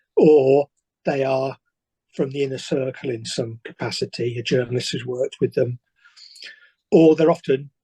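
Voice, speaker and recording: Somewhat breathy and dark, mellow in tone, a man speaks at medium pitch with fairly even intonation and long, frequent pauses. The sound is dry and close, with no echo. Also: moderate pace. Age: 60s. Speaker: author. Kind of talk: interview.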